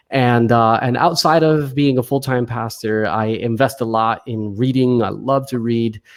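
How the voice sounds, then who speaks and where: A man talks at a fairly slow pace with fairly even intonation and a medium pitch. The recording is very clean, with a silent background. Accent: New Jersey. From US Northeast, New Jersey. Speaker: pastor and author. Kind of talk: interview conversation.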